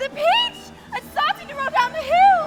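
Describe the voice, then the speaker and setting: Over music in the background, a woman performs a put-on character voice that is squeaky and extremely high. Her pitch swings very widely, and the pace is moderate. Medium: stage play. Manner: haughty, proper.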